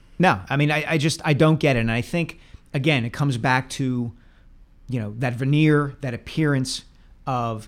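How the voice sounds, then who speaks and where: An unremarkable speaking voice with ordinary pitch variation moves at a moderate pace in a very clean recording with a silent background. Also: man. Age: 40s. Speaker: sports columnist podcast co-host. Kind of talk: casual sports talk.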